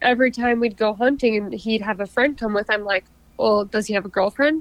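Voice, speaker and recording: A woman speaks with an Upper Midwest accent. Her pitch is fairly high. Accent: Upper Midwest American. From southern Minnesota. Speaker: outdoorswoman, hunter and angler. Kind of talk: casual interview chat.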